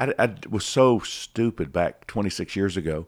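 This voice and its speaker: In an American accent, a man with an ordinary speaking voice uses lively intonation on a very clean recording with a silent background. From Atlanta, US South. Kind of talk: casual interview.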